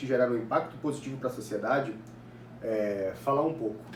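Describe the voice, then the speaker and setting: Noticeable background noise runs under a man's voice. There is audible room echo as well. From Brazil, Ananindeua, Pará (northern Brazil). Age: 20s. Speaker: political activist and university student. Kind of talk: interview answers, monologue.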